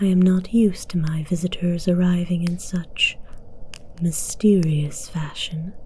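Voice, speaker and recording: A woman's put-on character voice, pitched fairly low. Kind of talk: ASMR audio roleplay. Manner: commanding, slow.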